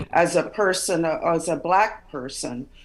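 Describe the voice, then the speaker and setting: A woman speaks in an unremarkable speaking voice, fairly low in pitch, with lively intonation. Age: 60s. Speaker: panel guest. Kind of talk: radio panel discussion.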